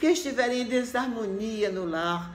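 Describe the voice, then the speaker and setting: A woman speaks very slowly, her intonation lively. Audible room echo and noticeable background noise fill the clip. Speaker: religious message presenter. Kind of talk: sermon.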